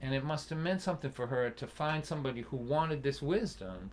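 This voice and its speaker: Lively intonation marks this man's Boston accent. He speaks at a moderate pace with a fairly high pitch. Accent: Boston area. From Massachusetts (Lynn, near Boston). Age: 60s. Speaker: folk singer-songwriter and storyteller. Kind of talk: storytelling in a live-streamed concert. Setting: live stream concert. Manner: animated.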